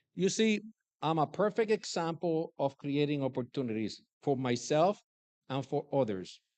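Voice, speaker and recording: A man with a Puerto Rican accent talks at a moderate pace in a fairly high voice with lively intonation. The sound is dry and close with no echo over a quiet background. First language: Spanish. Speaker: commencement speaker, businessman and army veteran. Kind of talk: commencement speech. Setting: graduation ceremony.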